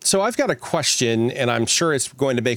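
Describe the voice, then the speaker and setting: A man's plain, everyday voice at medium pitch and a fairly quick pace. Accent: American. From US Midwest (Missouri Ozarks). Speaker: podcast co-host. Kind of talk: casual chat.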